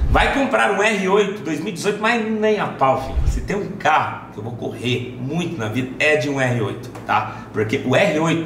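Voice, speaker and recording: A man speaks at a fairly slow pace with very wide pitch swings, amid audible room echo and light background noise. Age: 20s. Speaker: YouTuber. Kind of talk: casual vlog, answering fan questions. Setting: at home. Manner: animated. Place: home room.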